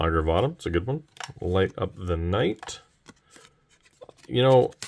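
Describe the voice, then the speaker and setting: The speech comes out as a mumble at a fairly slow pace. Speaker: card collector opening packs. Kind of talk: casual unboxing commentary. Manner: mumbling.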